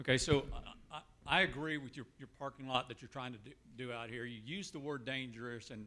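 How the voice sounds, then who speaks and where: A man's bright, sharp tone at medium pitch, with a fairly quick pace and fairly even intonation. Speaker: resident. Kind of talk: public comment at town hall. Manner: loud.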